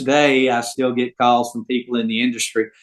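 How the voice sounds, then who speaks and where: At a medium pitch, a man speaks at a moderate pace. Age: 70s. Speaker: retired business owner. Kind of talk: interview. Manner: halting, many fillers and repeats.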